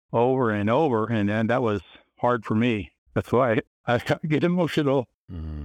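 A man's plain, everyday voice with ordinary pitch variation, in a dry, close sound with no echo. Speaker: author. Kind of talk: interview.

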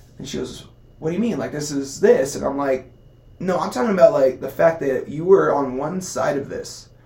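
At a moderate pace and fairly high pitch, a man speaks with ordinary pitch variation and big swings in loudness over noticeable background noise. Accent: American. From Southern California, Costa Mesa. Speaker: physical therapist and competitive athlete. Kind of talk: casual interview conversation.

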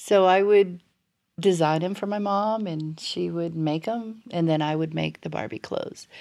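In an American accent, a woman with a fairly low pitch and a dark, mellow tone speaks at a moderate pace on a very clean recording with a silent background. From South Florida, Cuban family. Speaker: podcast co-host. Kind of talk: casual chat.

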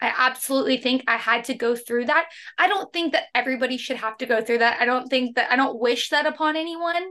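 Very fast and with hardly any pauses, this raised, projected voice has a bright, sharp tone and an American accent. Its pitch varies in an ordinary way over a quiet background. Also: woman, high pitch for a woman. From Oklahoma, US. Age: 20s. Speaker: health and nutrition coach. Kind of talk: interview conversation.

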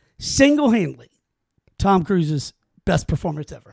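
A man talks at a fairly quick pace in an animated tone with lively intonation, on a very clean recording with a silent background. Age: 40s. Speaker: podcast host. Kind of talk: casual chat.

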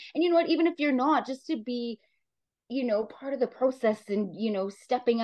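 In a Canadian Prairies accent, a woman speaks fairly quickly with lively intonation and a fairly high pitch. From Saskatchewan, Canada (small town). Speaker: amateur football player and coach. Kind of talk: interview.

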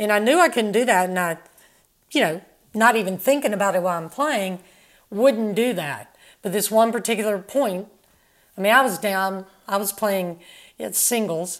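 Speaking at medium pitch and a moderate pace, a woman uses ordinary pitch variation and long, frequent pauses. The recording is very clean, with a silent background. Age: 60s. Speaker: former professional tennis player. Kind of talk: casual interview.

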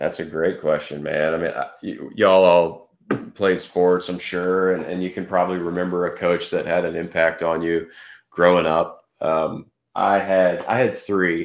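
A man with a Texan accent, a very deep, low pitch and monotone, flat intonation, against a quiet background. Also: moderate pace. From Texas, Fort Worth. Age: 30s. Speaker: former professional golfer. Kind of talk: podcast interview.

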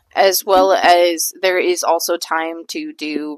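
A woman's voice is heard with a dry, close sound and no echo. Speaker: podcast co-host. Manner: loud; loud, tends to yell into the mic.

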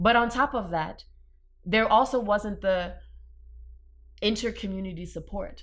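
A woman's medium-pitched voice carries vocal fry and ordinary pitch variation, moving at a fairly slow pace with long, frequent pauses. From New Orleans, Louisiana. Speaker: cultural anthropologist. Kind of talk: casual interview.

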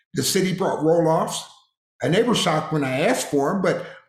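With audible room echo, a man talks at a fairly quick pace. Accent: American. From Harrisburg, Pennsylvania. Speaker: retired police officer. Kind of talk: interview.

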